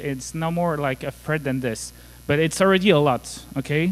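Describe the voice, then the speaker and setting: The speaker talks in a French accent. The pace is moderate. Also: man. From France. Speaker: conference speaker, cybersecurity engineer. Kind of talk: conference talk.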